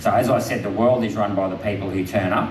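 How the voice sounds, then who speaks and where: Speaking with an Australian accent, a man talks at a fairly quick pace with a fairly low pitch and fairly even intonation. Audible room echo and noticeable background noise surround him. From Queensland, Australia. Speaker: politician. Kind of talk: public talk with Q&A.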